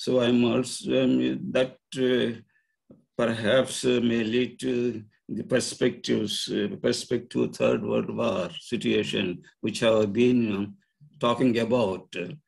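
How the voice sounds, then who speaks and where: Very slow male speech over a quiet background. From India. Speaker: retired engineering professor. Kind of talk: presentation. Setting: video call. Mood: serious, worried. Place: home room. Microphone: video call.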